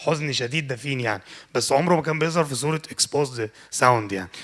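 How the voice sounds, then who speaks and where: Words tumble out very fast, and pitch varies in an ordinary way. Behind them, the very clean recording has a silent background. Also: man. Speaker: lecturer and interior design engineer. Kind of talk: lecture. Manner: casual, code-switching with English.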